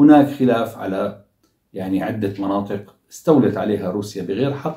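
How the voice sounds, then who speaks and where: At a fairly slow pace, a somewhat breathy voice with a dark, mellow tone and ordinary pitch variation carries audible room echo over a quiet background. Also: man. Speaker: commentator. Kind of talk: commentary. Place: home room.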